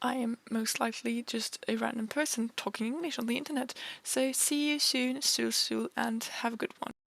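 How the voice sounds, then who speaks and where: A woman with a non-native accent speaks at a moderate pace with hardly any pauses, the sound dry and close with no echo. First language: not English. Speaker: sims game youtuber. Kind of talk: casual voiceover commentary. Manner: casual, filler-heavy.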